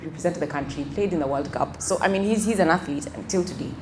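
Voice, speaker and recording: A woman's fairly low voice with ordinary pitch variation, amid audible room echo and noticeable background noise. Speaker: financial wellness speaker. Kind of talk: motivational talk. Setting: event with audience.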